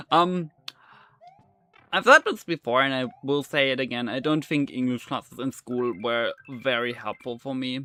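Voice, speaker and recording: Music in the background, a dry, close sound with no echo, a moderate pace and ordinary pitch variation. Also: man, medium pitch for a man. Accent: German. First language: German. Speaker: gaming streamer. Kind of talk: casual chat. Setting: live stream. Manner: halting, many fillers.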